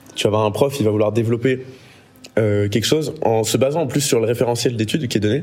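Very fast speech from a man at a medium pitch, with very even loudness, ordinary pitch variation and noticeable background noise. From Marseille, France. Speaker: student, guest. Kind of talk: casual chat.

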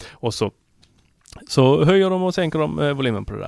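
Talking at a very fast pace with very wide pitch swings, a man comes through in a very clean recording with a silent background. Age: 30s. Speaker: tech podcast guest co-host. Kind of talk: casual chat. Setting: studio.

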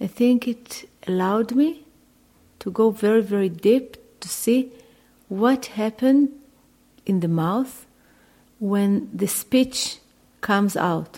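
Over long, frequent pauses, a woman speaks very slowly in a somewhat breathy, dark, mellow tone at a fairly high pitch with ordinary pitch variation. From Israel, Jerusalem. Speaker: vocal artist. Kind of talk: interview. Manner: halting.

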